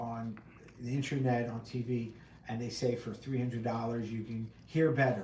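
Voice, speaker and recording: A man speaks at a moderate pace and medium pitch with fairly even intonation. Noticeable background noise and audible room echo come through. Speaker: hearing instrument specialist. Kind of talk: casual Q&A livestream. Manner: loud and clear.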